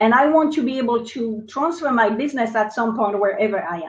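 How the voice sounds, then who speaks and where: With a French accent and a high pitch, a woman speaks at a moderate pace with ordinary pitch variation. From France. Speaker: entrepreneur. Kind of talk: interview. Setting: live video stream.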